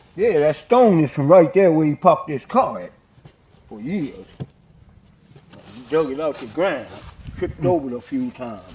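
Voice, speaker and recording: A man with a fairly high voice speaks at a moderate pace, his pitch swinging very widely and his loudness shifting a lot. He leaves long, frequent pauses over noticeable background noise. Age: 60s. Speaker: family member interviewed in documentary. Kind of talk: casual chat.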